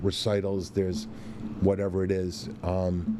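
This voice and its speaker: A man speaks with a very deep, low pitch and a dark, mellow tone. His intonation stays fairly even. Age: 60s. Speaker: chef and restaurant owner. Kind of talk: interview.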